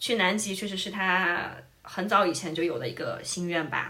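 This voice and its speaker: Speaking at a fairly quick pace, a woman keeps a fairly even intonation while noticeable background noise and audible room echo surround her. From southern China. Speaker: podcast host. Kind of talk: casual chat.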